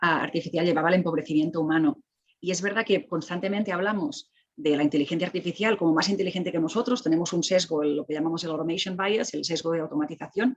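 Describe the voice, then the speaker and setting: A woman with a Catalan accent speaks at a very fast pace. Her voice is fairly low, with ordinary pitch variation. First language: Catalan (speaking Spanish). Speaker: technology ethics expert. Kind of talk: panel discussion. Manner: animated; halting.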